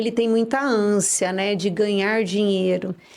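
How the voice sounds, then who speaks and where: Speaking very slowly in a São Paulo interior accent, a woman uses a medium pitch with ordinary pitch variation. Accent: caipira São Paulo interior. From Brazil, interior of São Paulo state (São José do Rio Preto). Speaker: dentist. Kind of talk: interview podcast.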